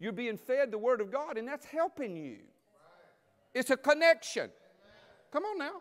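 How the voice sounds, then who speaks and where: With an extremely high pitch and very wide pitch swings, a man talks at a moderate pace in an animated tone, his loudness swinging widely between long, frequent pauses. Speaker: preacher. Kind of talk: sermon. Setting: church with congregation. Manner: animated, call-and-response preaching. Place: church.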